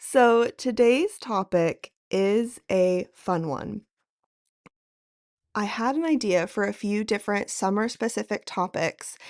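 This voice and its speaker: At a very slow pace, a woman speaks at a medium pitch with ordinary pitch variation and a relaxed tone. The sound is dry and close with no echo, over a quiet background. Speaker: podcast host. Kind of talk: casual podcast monologue. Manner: relaxed, lighthearted.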